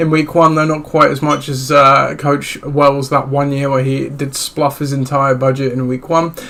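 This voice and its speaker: At a moderate pace, a man talks against noticeable background noise. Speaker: podcast host. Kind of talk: solo fantasy football podcast talk. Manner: casual, hesitant with many fillers.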